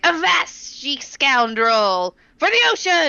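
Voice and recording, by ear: In a put-on character voice, a female-sounding speaker talks at a very slow pace with a fairly high pitch.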